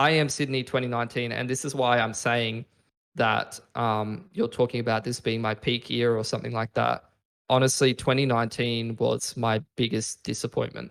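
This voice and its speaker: With an ordinary speaking voice, a man talks at medium pitch and a moderate pace, his intonation fairly even. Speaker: esports shoutcaster. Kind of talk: interview answer. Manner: casual, profane.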